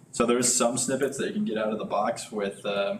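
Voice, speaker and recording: Over noticeable background noise, a man with a medium pitch talks at a fairly quick pace, his pitch swinging very widely. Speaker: software developer presenting a live coding meetup. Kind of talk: live coding tutorial. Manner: fast.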